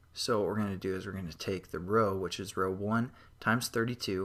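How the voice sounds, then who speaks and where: This very clean recording has a silent background and a man speaking at a moderate pace, his fairly low pitch carried by a bright, sharp tone. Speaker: programming tutorial maker. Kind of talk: tutorial. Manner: quiet, not very enthusiastic.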